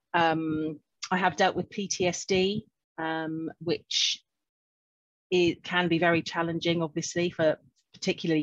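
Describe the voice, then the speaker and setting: A woman speaks slowly, at a fairly low pitch in monotone, flat intonation with long, frequent pauses, the sound dry and close with no echo over a quiet background. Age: 50s. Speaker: clinical hypnotherapist. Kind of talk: interview.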